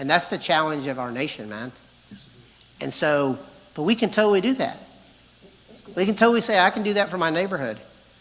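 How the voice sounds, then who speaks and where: There is noticeable background noise. Over it, a man talks with lively intonation. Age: 60s. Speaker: pastor. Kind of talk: conference talk, Q&A answer. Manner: animated.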